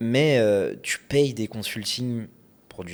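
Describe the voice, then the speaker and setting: Someone with a slight Lyon accent speaks at a very slow pace. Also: man. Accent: faint Lyon. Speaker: podcast host, e-commerce entrepreneur. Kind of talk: casual chat.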